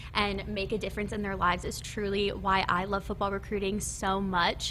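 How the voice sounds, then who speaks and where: A woman's medium-pitched voice at a moderate pace, with a Midwestern American accent. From Nebraska. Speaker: college football recruiting staffer. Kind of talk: casual interview. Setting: studio.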